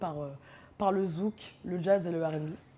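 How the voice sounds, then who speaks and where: A woman with a fairly low pitch and a dark, mellow tone keeps her intonation fairly even. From northern France, Amiens. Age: 30s. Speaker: DJ. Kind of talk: casual interview. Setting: studio loft.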